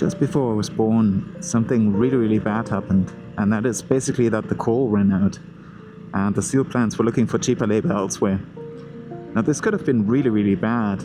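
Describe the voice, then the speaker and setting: A man at medium pitch with lively intonation, very even loudness and a fairly quick pace, music in the background. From Germany, Ruhr area. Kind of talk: motovlog narration to camera. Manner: casual, conversational.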